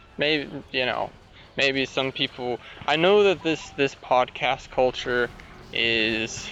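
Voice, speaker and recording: Speech comes at a very slow pace, broken by long, frequent pauses. Noticeable background noise runs underneath. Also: man. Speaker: podcaster. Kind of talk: casual monologue. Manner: halting, many restarts.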